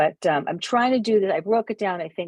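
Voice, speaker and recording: Speaking at a fairly quick pace, a woman talks at a medium pitch. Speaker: photography club workshop presenter. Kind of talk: online tutorial. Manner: hesitant, many fillers.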